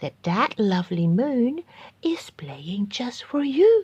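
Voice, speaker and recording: A put-on, female-sounding character voice at a very slow pace, with very wide pitch swings. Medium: read story.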